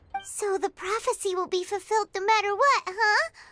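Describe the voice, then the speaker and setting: In a put-on character voice, the speaker sounds squeaky at an extremely high pitch. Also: moderate pace. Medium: video game.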